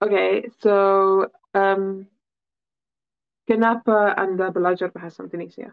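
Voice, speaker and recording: A woman speaks at medium pitch in a monotone, flat intonation, fairly slowly and with long, frequent pauses. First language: English (speaking Indonesian). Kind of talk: casual chat. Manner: halting.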